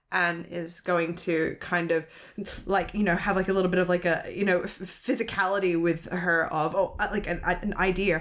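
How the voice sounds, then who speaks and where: Speaking with an Australian accent, a woman uses a fairly low pitch and monotone, flat intonation at a moderate pace. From Sydney, Australia. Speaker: actual play roleplayer. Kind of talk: tabletop roleplay narration.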